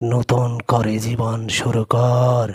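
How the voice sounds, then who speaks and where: This is a cartoonish character voice with monotone, flat intonation. It moves at a very slow pace. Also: man. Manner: stern, preachy, uses intimate "tui" address.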